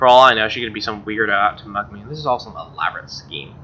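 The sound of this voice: A man's fast-paced voice, fairly low in pitch, with a bright, sharp tone. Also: ordinary pitch variation.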